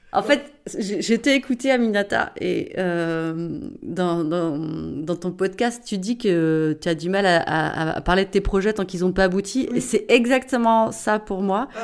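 At a fairly slow pace, a woman talks in an ordinary speaking voice with a medium pitch. Her intonation is lively. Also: very clean recording, silent background. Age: 40s. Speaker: social worker and author. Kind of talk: casual interview conversation.

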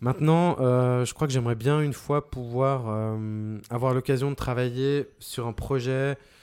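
Fairly slow and fairly even in intonation, a man speaks at a medium pitch. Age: 40s. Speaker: sound designer. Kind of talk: interview. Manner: clear, well-placed on the mic.

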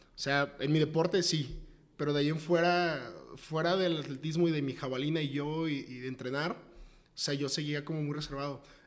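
A man with a Mexican accent talks at a fairly quick pace in a fairly high pitch, his intonation flat and monotone. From Mexico, Tepic, Nayarit. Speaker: startup co-founder. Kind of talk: interview.

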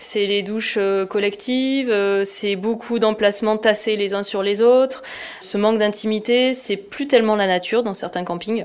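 This woman has a normal speaking voice, fairly high in pitch, and talks at a fairly slow pace with fairly even intonation. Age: 40s. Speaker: product manager at a sports retailer. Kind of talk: podcast interview.

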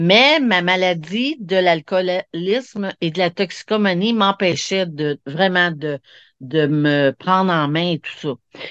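The woman's voice is fairly low, with ordinary pitch variation. The sound is dry and close with no echo, and the background is quiet. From Quebec, Montreal. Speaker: hypnosis practitioner. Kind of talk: interview, personal testimony. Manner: halting, many repetitions.

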